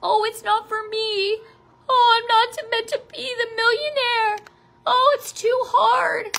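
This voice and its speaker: Putting on a whiny character voice, a woman speaks fairly slowly at an extremely high pitch, her intonation fairly even but her loudness swinging widely. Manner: mocking, whiny.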